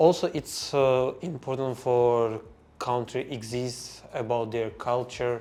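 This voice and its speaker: This man talks at a very slow pace. Fairly even intonation runs through his speech. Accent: Russian. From Azerbaijan. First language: Russian. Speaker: language learner. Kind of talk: podcast interview. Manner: halting.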